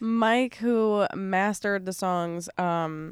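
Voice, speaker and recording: A woman's medium-pitched, a normal speaking voice, with an American accent and ordinary pitch variation. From New York (Long Island). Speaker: singer-songwriter. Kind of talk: casual chat.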